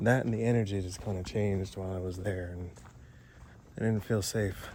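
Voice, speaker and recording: A man talks quietly in a monotone, flat intonation. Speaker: paranormal explorer vlogger. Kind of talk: vlog narration. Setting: outdoors in the woods. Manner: speaking quietly.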